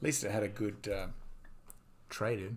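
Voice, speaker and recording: Noticeable background noise and audible room echo surround a voice with an Australian accent, moving at a moderate pace with monotone, flat intonation. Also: man. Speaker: gaming streamer. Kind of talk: casual chat.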